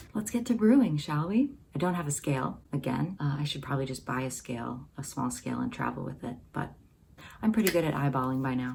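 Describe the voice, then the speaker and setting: Whispering, a woman talks at a moderate pace. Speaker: coffee roaster and video creator. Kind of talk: tutorial. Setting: brother's home kitchen.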